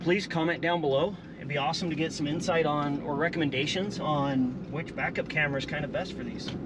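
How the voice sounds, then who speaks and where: Over loud background noise, a man talks at a very fast pace with hardly any pauses. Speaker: vlogger. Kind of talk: casual vlog chat. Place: car. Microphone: camera far.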